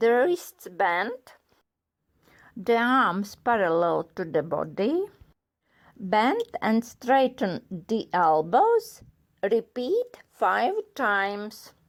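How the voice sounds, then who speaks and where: On a very clean recording with a silent background, a woman with a non-native accent speaks very slowly at a fairly high pitch, with lively intonation and long, frequent pauses. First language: not English. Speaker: fitness instructor doctor. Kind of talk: exercise instruction. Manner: slow, measured.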